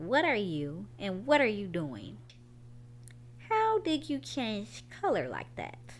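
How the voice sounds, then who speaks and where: A woman performs a put-on character voice at a fairly slow pace. Long, frequent pauses break her speech over clear background noise. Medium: read story.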